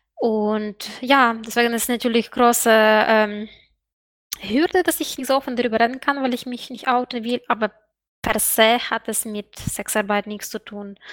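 Her voice is dry and close with no echo, over a very clean recording with a silent background. The woman speaks at a fairly slow pace with fairly even intonation. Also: fairly high pitch for a woman. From Eastern Europe outside EU. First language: Eastern European language (speaking German). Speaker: student and sex worker. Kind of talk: interview.

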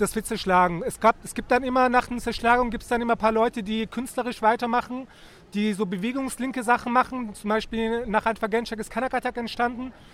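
The pace is fairly quick in a very clean recording with a silent background. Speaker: interviewer. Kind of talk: street interview. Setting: outdoors.

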